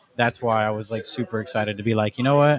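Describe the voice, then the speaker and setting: A man with an American accent and fairly even intonation, dry and close with no echo, over noticeable background noise. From Arizona, Casa Grande. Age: 20s. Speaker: cannabis brand sales rep. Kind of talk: podcast interview. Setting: in-person in a lounge.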